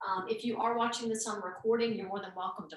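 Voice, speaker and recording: A woman talks with a slight Southern US accent and ordinary pitch variation. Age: 50s. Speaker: yoga teacher. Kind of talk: instructional class. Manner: relaxed, with frequent fillers.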